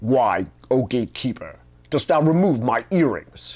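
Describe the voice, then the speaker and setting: A put-on character voice at a low-to-middle pitch comes through at a moderate pace in a very clean recording with a silent background. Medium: read story. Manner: commanding, imperious.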